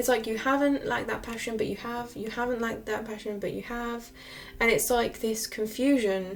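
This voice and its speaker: A woman talks at a fairly quick pace, her pitch fairly high and her intonation monotone and flat. Room echo is audible, along with noticeable background noise. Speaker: tarot reader. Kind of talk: tarot reading monologue. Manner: fast.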